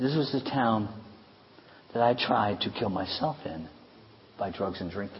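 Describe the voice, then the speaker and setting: A man's medium-pitched voice with lively intonation at a fairly slow pace, long, frequent pauses and noticeable background noise. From High Park. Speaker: pastor. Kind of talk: sermon.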